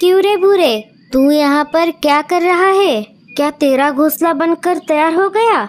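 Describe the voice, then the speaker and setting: A female-sounding voice goes extremely high in pitch. It is a cartoonish character voice. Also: moderate pace. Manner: familiar, blunt.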